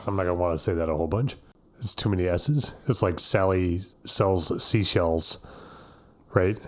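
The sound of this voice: Over a silent background on a very clean recording, a man with a very deep, low pitch speaks at a moderate pace, using ordinary pitch variation and long, frequent pauses.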